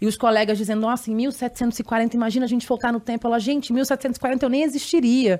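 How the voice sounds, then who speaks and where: A woman with a high-pitched voice speaks at a fairly quick pace with hardly any pauses and fairly even intonation. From Rio de Janeiro, Brazil. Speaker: journalist and podcast co-host. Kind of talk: podcast interview.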